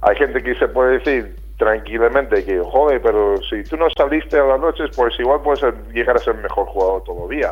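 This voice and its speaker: A man talks at a fairly quick clip. Background music accompanies him. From United States. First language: English (speaking Spanish). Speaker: retired basketball player. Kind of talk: interview. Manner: halting.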